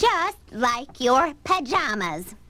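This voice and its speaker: A put-on character voice, female-sounding, shouting loud, high and shrill, with very wide pitch swings. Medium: audio drama. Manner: loud, yelling.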